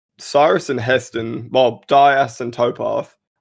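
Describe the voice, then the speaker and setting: In a very clean recording with a silent background, a man with an Australian accent talks fairly slowly in a fairly high pitch. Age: 18. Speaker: voice actor. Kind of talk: casual chat.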